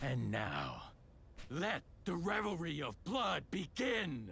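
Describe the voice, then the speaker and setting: In a put-on character voice, a man speaks very slowly at a high pitch with very wide pitch swings, against clear background noise. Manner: menacing, theatrical.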